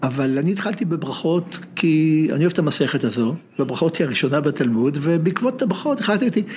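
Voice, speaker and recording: Ordinary pitch variation and a moderate pace, with noticeable background noise throughout. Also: man. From Israel, Haifa. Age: 70s. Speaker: professor emeritus of Hebrew literature. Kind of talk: interview conversation.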